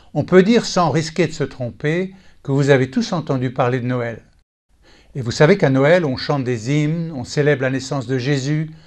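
A man with an ordinary speaking voice talks at a moderate pace in a fairly high pitch with ordinary pitch variation against a quiet background. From Texas. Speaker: Bible teacher. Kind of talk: scripted teaching talk.

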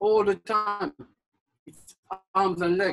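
At a fairly slow pace, a man speaks over light background noise. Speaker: fitness instructor. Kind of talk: live group boxing class, barked drill commands and coaching cues. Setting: live online group workout class. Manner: loud, clipped, insistent, repeating commands and 'okay' constantly. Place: garden. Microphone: camera far.

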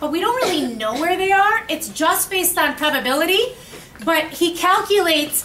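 Over light background noise, a woman uses a raised, projected voice with ordinary pitch variation. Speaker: chemistry teacher. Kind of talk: lecture. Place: classroom. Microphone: camera far.

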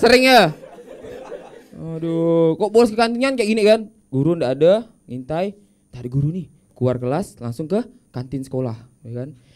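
A man speaks in an animated, playful tone with very wide pitch swings and big swings in loudness. He leaves long, frequent pauses. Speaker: stand-up comedian. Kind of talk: stand-up comedy set with audience interaction and punchline skits. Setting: stage with audience at a school. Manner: animated, playful, punchline-driven; quick jokes and acted-out character voices. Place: studio. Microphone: handheld.

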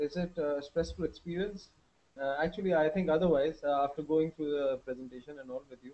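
With a dark, mellow tone, a man speaks using ordinary pitch variation. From Pakistan. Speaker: webinar host. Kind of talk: hosted Q&A. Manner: hesitant, many fillers. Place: home room. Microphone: headset.

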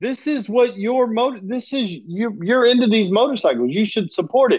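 A man is speaking against a quiet background. His pitch swings very widely. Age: 50s. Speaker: podcast host. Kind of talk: casual chat. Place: home room. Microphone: earbuds.

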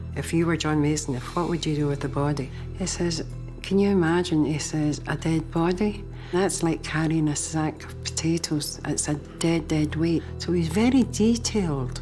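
A woman's very deep, low voice in a strong Scottish accent, moderate in pace with ordinary pitch variation, over clear background music. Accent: thick Scottish. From Scotland. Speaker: private investigator in training, interviewee. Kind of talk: interview answer. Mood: serious, reflective storytelling. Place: home room.

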